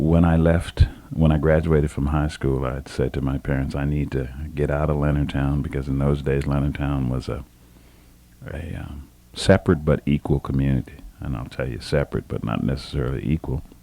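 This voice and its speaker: A man with an American accent speaks at a fairly quick pace in a very deep, low pitch. His intonation is monotone and flat, with noticeable background noise. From southern Maryland, US. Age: 60s. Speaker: retired army officer and county administrator. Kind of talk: oral history interview. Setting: office. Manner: halting, many fillers and repeats.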